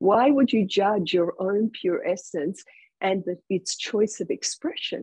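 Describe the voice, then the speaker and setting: A woman speaks very slowly in a somewhat breathy voice with ordinary pitch variation. The sound is dry with no echo, over a quiet background. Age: 60s. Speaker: spiritual teacher. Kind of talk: spiritual talk. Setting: video call. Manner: slow, deliberate for translators; animated. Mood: calm, gentle, spiritual. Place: home room. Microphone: earbuds.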